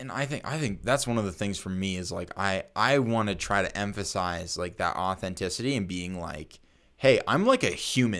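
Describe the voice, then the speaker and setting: In a very clean recording with a silent background, a man with an American accent and an unremarkable speaking voice talks at a fairly low pitch and moderate pace, with ordinary pitch variation. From Colorado, US. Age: 20s. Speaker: podcast host. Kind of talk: casual chat.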